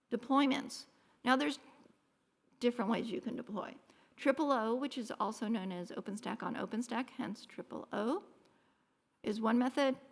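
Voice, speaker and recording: A high-pitched woman speaks with ordinary pitch variation, stopping often for long pauses. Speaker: conference speaker. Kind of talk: technical conference talk. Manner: fast.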